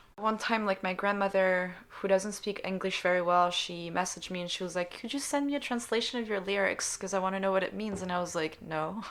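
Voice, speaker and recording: A woman with a French accent, medium in pitch, talking at a fairly quick pace with hardly any pauses and fairly even intonation. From Switzerland. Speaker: singer-songwriter. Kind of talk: interview.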